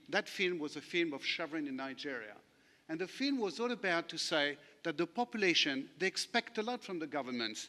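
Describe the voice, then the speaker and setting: Very wide pitch swings and a bright, sharp tone from a man with a French accent, at a fairly quick pace. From France. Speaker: lawyer. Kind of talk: conference panel talk. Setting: conference session with audience.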